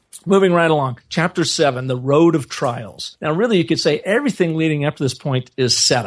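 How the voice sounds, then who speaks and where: Against a quiet background, a man with an American accent talks in an unremarkable speaking voice, fairly high in pitch, at a fairly quick pace with hardly any pauses and ordinary pitch variation. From US Pacific Northwest, Seattle area. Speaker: brand storyteller and agency owner. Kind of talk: interview.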